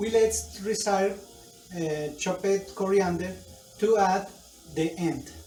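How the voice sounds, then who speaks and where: A man with a Colombian accent, high-pitched, at a very slow pace with fairly even intonation and long, frequent pauses, amid audible room echo and noticeable background noise. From Colombia, Bogotá. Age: 40s. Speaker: adult language student. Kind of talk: student speaking assignment, recipe tutorial. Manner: halting, many fillers.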